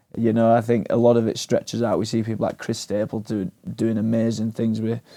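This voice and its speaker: A man with an English accent, medium pitch and a dark, mellow tone, monotone and flat, at a fairly quick pace on a very clean recording with a silent background. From England, small town. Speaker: musician and audio engineer. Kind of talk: casual interview chat. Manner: hesitant, many fillers.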